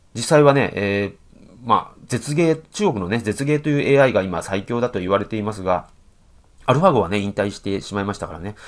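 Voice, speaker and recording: Against a quiet background, a man with a fairly low pitch speaks at a moderate pace, his intonation lively and his loudness swinging widely. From Japan. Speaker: professional go player and commentator; commentator. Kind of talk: game commentary. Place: home room. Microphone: webcam.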